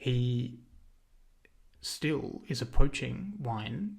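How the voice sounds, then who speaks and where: A somewhat breathy man with an Australian accent talks at a medium pitch amid audible room echo. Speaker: video essayist. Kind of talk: lecture. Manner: halting, many fillers.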